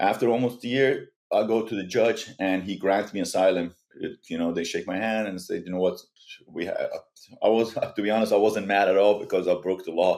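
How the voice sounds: A man speaks at a fairly quick pace in a low pitch. His intonation is fairly even, and his tone is slightly mellow.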